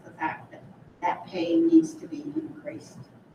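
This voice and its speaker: At a moderate pace, a woman speaks with very wide pitch swings and a somewhat breathy quality. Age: 80s+. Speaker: retired teacher and substitute teacher. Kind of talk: public comment at a school board meeting.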